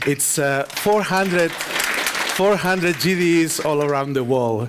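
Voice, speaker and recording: A man speaks at a very slow pace with lively intonation. Audible room echo and crowd noise fill the background. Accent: Spanish. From Spain. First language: Spanish. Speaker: conference speaker, software developer. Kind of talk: conference talk.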